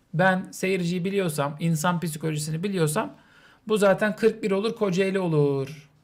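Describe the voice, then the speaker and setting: A man with a high voice talks fairly slowly, and his pitch moves up and down in a normal way. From Turkey. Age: 30s. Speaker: streamer. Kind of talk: charity livestream talk. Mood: calm, serious, subdued. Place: home room. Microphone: studio mic.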